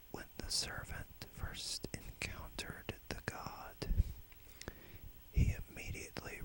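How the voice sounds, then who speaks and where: A man whispering at a very slow pace over noticeable background noise. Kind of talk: whispered dark fantasy tale. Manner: whispered.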